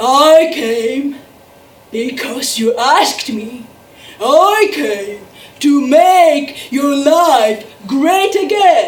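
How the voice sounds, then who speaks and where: A woman in a put-on character voice speaks very slowly at a high pitch, with a slight echo. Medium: stage play. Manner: boastful, grandiose.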